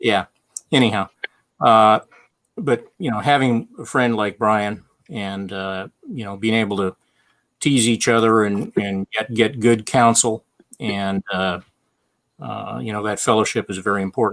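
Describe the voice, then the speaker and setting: A man with a fairly low pitch and ordinary pitch variation speaks at a fairly slow pace with long, frequent pauses, the very clean recording dry and close with no echo and a silent background. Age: 60s. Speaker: off-road riding author and business owner. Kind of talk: casual chat. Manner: halting, many fillers.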